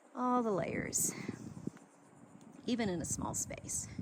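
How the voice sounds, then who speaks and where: Her tone bright and sharp, a woman speaks in an animated way at a fairly slow pace with ordinary pitch variation. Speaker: landscape designer. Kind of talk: walking tour. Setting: outdoors.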